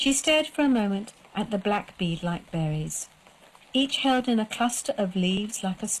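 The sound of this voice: Lively intonation in an unforced reading voice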